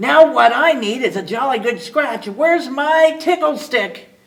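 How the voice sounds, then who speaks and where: Here a woman performs a put-on character voice. Her pitch is high and her pace moderate. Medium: read story. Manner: grumbly.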